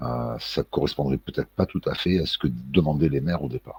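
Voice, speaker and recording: A man speaks with a very deep, low pitch and ordinary pitch variation. The sound is dry and close, with no echo. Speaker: political commentary vlogger. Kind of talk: casual monologue vlog. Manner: slow; hesitant, many fillers and repetitions.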